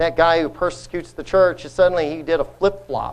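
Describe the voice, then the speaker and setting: Using a normal speaking voice, a man talks at a moderate pace with fairly even intonation. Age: 50s. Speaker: lay preacher. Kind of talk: sermon. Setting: congregation.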